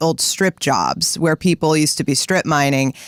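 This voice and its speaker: The background is silent on a very clean recording. The talking goes at a moderate tempo. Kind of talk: morning radio show banter.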